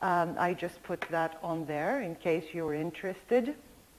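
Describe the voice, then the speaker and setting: Lively intonation marks this woman's speech, delivered in a Greek accent. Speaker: linguistics professor. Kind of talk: lecture.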